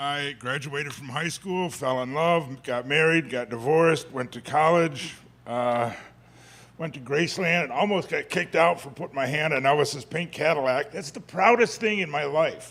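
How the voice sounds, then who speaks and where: Big swings in loudness mark this man's speech, which has a fairly high pitch, ordinary pitch variation, and a moderate pace. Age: 60s. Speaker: congregation member sharing at open mic. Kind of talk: personal testimony. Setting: church service with audience. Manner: halting.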